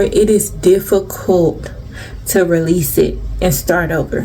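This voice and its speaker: A woman is recorded with audible room echo and noticeable background noise. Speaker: tarot reader. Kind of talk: tarot reading. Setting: recorded on camera. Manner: strong, projecting on camera.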